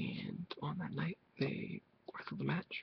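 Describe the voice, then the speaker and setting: Soft-spoken and relaxed in tone, a man talks at a moderate pace. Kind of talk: casual talk to camera. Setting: webcam recording, compressed audio. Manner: soft-spoken, relaxed.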